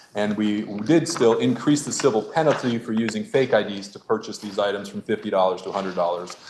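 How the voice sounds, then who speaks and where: Over noticeable background noise, the speech rushes along very fast with hardly any pauses, ordinary pitch variation and big swings in loudness. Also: man, fairly low pitch for a man. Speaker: state senator. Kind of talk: legislative floor report. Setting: senate chamber.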